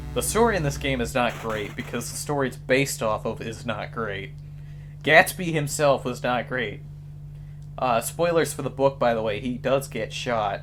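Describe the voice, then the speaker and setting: A man at medium pitch talks with ordinary pitch variation amid noticeable background noise. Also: moderate pace. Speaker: gaming YouTuber. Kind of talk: gameplay commentary. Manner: casual, filler-heavy.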